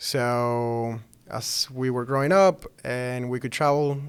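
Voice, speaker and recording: This man's voice sits at a medium pitch. The intonation is fairly even. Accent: Spanish. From Venezuela. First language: Spanish. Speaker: startup founder. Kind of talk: interview.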